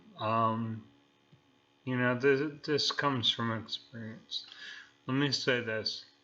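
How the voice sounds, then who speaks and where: Flat and monotone, a man speaks at a fairly slow pace in a bright, sharp tone, with audible room echo around him. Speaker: amateur radio operator. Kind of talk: casual talk to camera. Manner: halting with many fillers.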